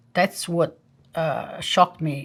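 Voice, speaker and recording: A woman with an Italian accent speaks at a moderate pace on a very clean recording with a silent background. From southern Italy, Naples. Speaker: scientist, professor. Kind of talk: documentary interview.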